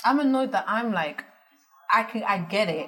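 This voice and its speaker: A woman talks at a fairly quick pace with lively intonation while music plays in the background. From Netherlands. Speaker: business founder. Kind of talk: interview.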